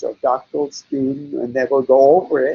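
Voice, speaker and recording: A man speaks with a German accent. His pitch is fairly high. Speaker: psychologist. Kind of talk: webinar Q&A. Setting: online webinar. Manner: halting, many fillers.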